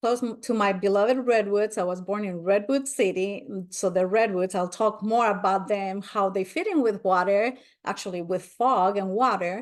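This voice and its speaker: A woman of medium pitch with a Spanish accent, fairly even intonation, moderate pace and hardly any pauses, over a quiet background. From Spain. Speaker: spiritual nature speaker. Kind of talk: webinar presentation.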